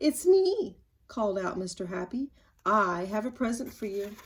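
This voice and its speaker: Putting on a character voice, a woman speaks at a fairly high pitch with lively intonation and a moderate pace. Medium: read story. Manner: cheerful, chuckling.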